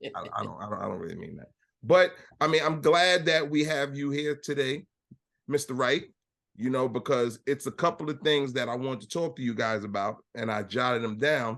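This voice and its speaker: Loud and fairly quick, a man speaks at a fairly high pitch. His pitch variation is ordinary, and the background is quiet. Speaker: podcast host. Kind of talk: casual chat.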